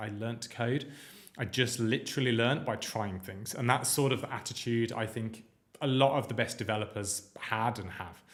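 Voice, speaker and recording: Speaking fairly quickly with a British accent, a man keeps his intonation fairly even amid audible room echo. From UK. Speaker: coding instructor. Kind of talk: live-streamed lecture. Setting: live stream. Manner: casual, filler-heavy.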